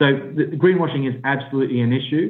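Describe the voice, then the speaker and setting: Here is a man with an Australian accent. His pace is moderate. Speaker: business analyst. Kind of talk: interview.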